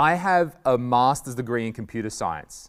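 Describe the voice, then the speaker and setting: With an Australian accent, a man at medium pitch talks at a fairly slow pace with lively intonation, recorded very cleanly against a silent background. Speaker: stand-up comedian. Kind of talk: talk to school pupils. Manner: loud.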